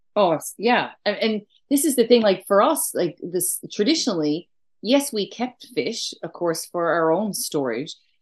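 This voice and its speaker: With a strong Newfoundland accent, a woman speaks at a fairly slow pace in a medium-pitched voice. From Newfoundland, east coast. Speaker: food writer and traditional cook. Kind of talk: casual interview chat.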